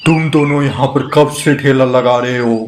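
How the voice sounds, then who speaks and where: This is a man speaking at a medium pitch. He puts on a cartoonish character voice. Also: moderate pace. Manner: stern, bossy.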